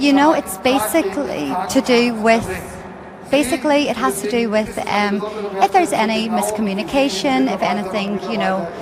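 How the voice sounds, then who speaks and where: With an Irish accent, the speaker uses lively intonation at a moderate pace, with noticeable background noise and audible room echo. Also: woman, fairly high pitch for a woman. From Ireland. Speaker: flight attendant, purser. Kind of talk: interview.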